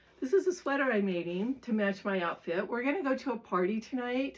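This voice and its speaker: A woman's fairly high voice at a moderate pace, full of lively intonation. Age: 60s. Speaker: lifestyle vlogger. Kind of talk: casual talk to camera. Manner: halting, with fillers.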